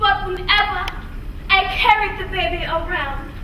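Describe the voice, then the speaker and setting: Over noticeable background noise, a woman uses a raised, projected voice at an extremely high pitch, ordinary pitch variation and a fairly slow pace. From Savannah, Georgia. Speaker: actor, public speaker. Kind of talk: dramatic reading.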